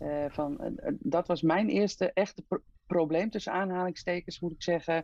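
Her voice is pitched fairly low for a woman. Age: 50s. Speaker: hemophilia patient and mother. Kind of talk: interview. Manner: halting with many fillers.

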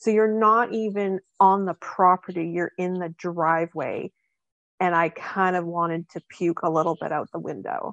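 In a normal speaking voice at a medium pitch, a woman talks at a moderate pace with fairly even intonation, the sound dry and close with no echo. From Canada. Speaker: paranormal investigator. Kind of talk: casual chat.

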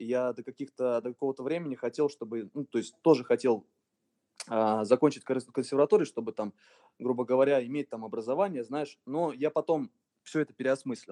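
At a fairly quick pace, a man talks in a medium pitch with ordinary pitch variation and a dark, mellow tone, the sound dry and close with no echo. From Russia, Voronezh region. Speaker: electronic music producer and DJ. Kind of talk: casual interview.

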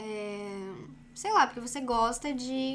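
With ordinary variation in pitch, a woman talks in a high voice. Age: 20s. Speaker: YouTuber. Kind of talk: casual chat.

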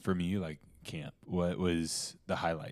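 In a very clean recording with a silent background, a man speaks at a fairly slow pace with a very deep, low pitch and a dark, mellow tone. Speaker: podcast host. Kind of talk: casual chat.

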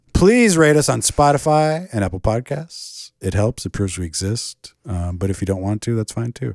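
A man's plain, everyday voice with an American accent, fairly low in pitch, at a moderate pace with lively intonation, in a very clean recording with a silent background and a dry, close sound with no echo. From Michigan. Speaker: movie podcast co-host. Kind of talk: casual chat. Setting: in a house in Michigan.

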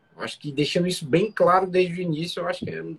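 Speaking at a fairly quick pace, this man has a high-pitched voice. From Brazil, Fortaleza, Ceará. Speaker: restaurant entrepreneur co-host. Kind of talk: casual live business talk. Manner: halting, repeats words.

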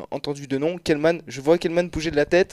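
The man's voice has a dark, mellow tone. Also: dry, close sound with no echo. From France, Clermont-Ferrand. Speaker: video game columnist. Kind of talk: radio segment. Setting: radio studio.

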